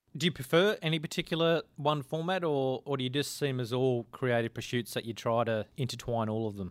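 A man with an Australian accent talks fairly quickly at a medium pitch, with hardly any pauses. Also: ordinary pitch variation. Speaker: podcast interviewer. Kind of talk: casual interview chat.

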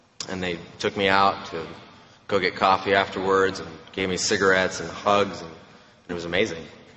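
A man talks fairly quickly in a very deep, low, monotone voice with flat intonation. Noticeable background noise and audible room echo fill the recording. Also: big swings in loudness. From Romania. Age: 20s. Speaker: AA speaker. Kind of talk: testimony. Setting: stage with audience.

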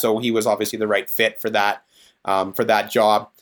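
This man speaks with a Canadian prairie accent. His pitch sits in the medium range. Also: very clean recording, silent background. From Saskatchewan, Canada. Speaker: DJ and business owner. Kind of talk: casual interview chat.

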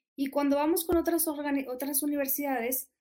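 A woman with a northern Mexican accent, high in pitch, at a moderate pace with ordinary pitch variation. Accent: northern Mexican (Monterrey). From Mexico, Monterrey. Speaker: nonprofit country manager. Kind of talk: interview.

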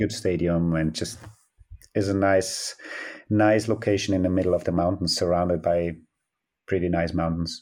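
Over a silent background in a very clean recording, a man with a very deep, low pitch speaks in a monotone, flat way at a moderate pace, with very even loudness and long, frequent pauses. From South Tyrol, Italy. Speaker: biathlon head coach. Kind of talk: interview answers.

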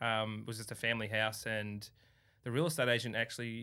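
The sound is very clean, with a silent background. A man speaks fairly quickly in a bright, sharp tone. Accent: Australian. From Melbourne, Australia. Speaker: carpenter, reality TV contestant. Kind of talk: casual interview chat. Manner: halting with fillers.

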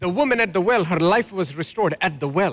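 A man's pitch rises and falls in very wide swings, captured on a very clean recording against a silent background. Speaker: pastor. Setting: church. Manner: call-and-response.

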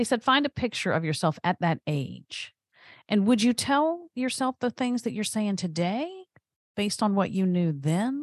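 Her medium-pitched voice swings very widely in pitch, and the woman is recorded very cleanly against a silent background. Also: moderate pace, dry, close sound with no echo. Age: 50s. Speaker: podcast host. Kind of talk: casual chat.

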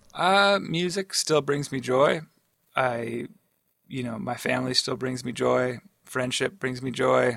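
Here is a man with a plain, everyday voice at a medium pitch. He talks at a fairly slow pace with ordinary pitch variation. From Atlantic Canada. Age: 40s. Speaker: rock guitarist. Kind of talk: casual interview. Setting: studio.

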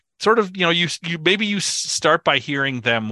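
A man with an American accent, bright and sharp in tone, at a moderate pace with very wide pitch swings, in a dry, close sound with no echo and a quiet background. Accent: Minnesotan, downplayed. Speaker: podcast co-host. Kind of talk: casual chat. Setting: remote call.

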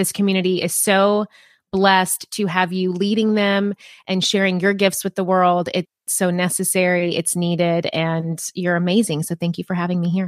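A woman with a plain, everyday voice and an American accent speaks at a moderate pace and medium pitch on a very clean recording with a silent background. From US South, rural Appalachian Tennessee. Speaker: business coach and author. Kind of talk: interview.

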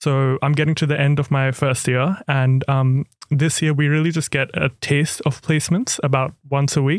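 Delivered in an Australian accent at a moderate pace, the speech has hardly any pauses. Intonation stays monotone and flat, with very even loudness. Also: man, fairly high pitch for a man. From far north Queensland, Australia (Cairns). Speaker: medical student. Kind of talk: podcast interview.

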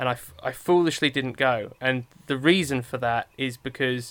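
A man speaks with an English accent at a medium pitch, with a bright, sharp tone and ordinary pitch variation. His pace is moderate, and the recording is very clean with a silent background. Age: 30s. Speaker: podcast co-host, film critic. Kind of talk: casual chat.

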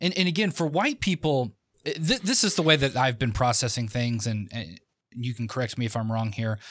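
Lively intonation marks this man's ordinary speaking voice, pitched in the medium range. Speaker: podcast co-host. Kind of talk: podcast interview.

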